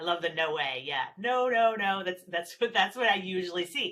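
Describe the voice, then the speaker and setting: A woman's bright, sharp voice in an American accent, at a fairly quick pace with lively intonation. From New Jersey. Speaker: parenting specialist. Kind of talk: webinar presentation. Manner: fast.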